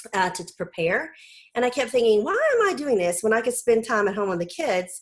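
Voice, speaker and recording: Amid noticeable background noise, a woman speaks fairly quickly at a fairly high pitch with lively intonation. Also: big swings in loudness. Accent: Southern US. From US South. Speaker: homeschool mom and blogger. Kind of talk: casual interview.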